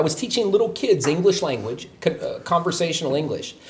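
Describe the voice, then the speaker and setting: A high-pitched man rushes along at a very fast pace with an American accent over noticeable background noise. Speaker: show guest, American expat, former English teacher. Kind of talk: casual chat.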